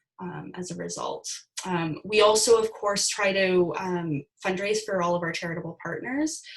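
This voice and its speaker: At a moderate pace and medium pitch, a woman talks in a normal speaking voice. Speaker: guest presenter on social media. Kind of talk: webinar presentation.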